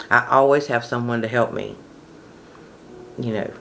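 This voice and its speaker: Speaking at a fairly quick pace, a woman with a very deep, low pitch keeps her intonation fairly even. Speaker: manifestation coach. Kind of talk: casual talk to camera. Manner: conversational.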